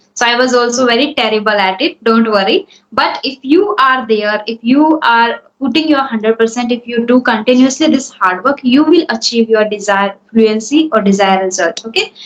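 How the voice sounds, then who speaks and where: Speaking at a moderate pace with hardly any pauses, a woman with an Indian accent uses a fairly high pitch and ordinary pitch variation. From India, Hindi-speaking. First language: Hindi. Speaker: English speaking coach. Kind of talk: spoken English coaching session.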